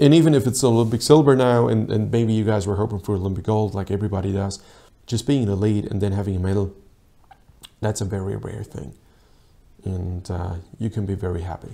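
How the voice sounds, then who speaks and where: The speech moves at a very fast pace. Its tone is dark and mellow, with ordinary pitch variation. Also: man, fairly low pitch for a man. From Austria. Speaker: rowing coach and video analyst; rowing coach, video analyst. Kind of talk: sports video analysis commentary. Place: office. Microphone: lapel.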